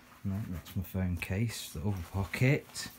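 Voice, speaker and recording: Speaking fairly slowly with a British accent, a man has a dark, mellow tone that sounds somewhat breathy. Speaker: retro gaming youtuber. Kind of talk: casual tutorial. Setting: home game room. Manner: halting, many fillers.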